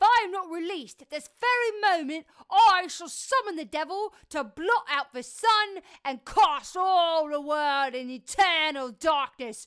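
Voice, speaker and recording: A female-sounding voice does a put-on character. The pitch is extremely high and the pace fairly slow. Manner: defiant, crude.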